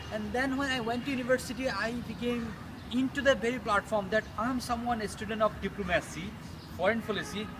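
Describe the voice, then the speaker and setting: Over noticeable background noise, a man with a Bengali accent speaks at a fairly quick pace in an extremely high voice with fairly even intonation. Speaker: vlogger. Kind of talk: casual monologue. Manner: halting.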